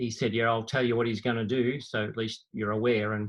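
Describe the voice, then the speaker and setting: A man speaks with an Australian accent. His intonation is monotone and flat. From Australia, Victoria (Bendigo). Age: 60s. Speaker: former competitive runner. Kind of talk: casual interview chat.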